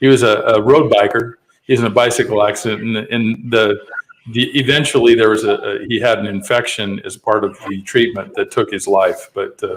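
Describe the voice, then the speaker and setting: A man with a Western US accent, medium pitch, fairly even intonation and a fairly quick pace. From Utah, US. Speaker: podcast host. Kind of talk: interview.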